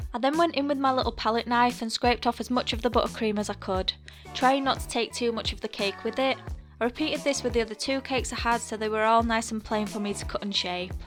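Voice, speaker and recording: Very fast speech with ordinary pitch variation over music in the background. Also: woman, fairly high pitch for a woman. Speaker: cake decorator. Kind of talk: baking tutorial voice-over.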